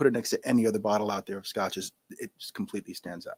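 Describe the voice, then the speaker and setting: Here a man speaks at a medium pitch. The sound is dry and close, with no echo. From New York. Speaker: scotch brand founder, retired Marine. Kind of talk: live podcast Q&A. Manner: fast; energetic.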